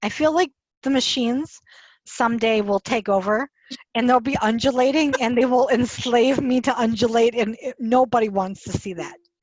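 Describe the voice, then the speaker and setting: Fairly high-pitched woman in a Wisconsin accent, lively intonation and a moderate pace, on a dry, close recording with no echo. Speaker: author and podcast host. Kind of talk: casual chat. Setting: video call. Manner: animated.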